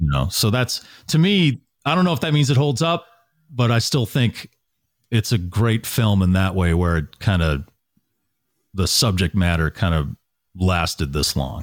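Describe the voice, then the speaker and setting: At a moderate pace and with long, frequent pauses, a man with an American accent and a fairly low pitch swings very widely in pitch while keeping his loudness very even. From Massachusetts (Natick). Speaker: radio morning show host. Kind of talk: casual chat.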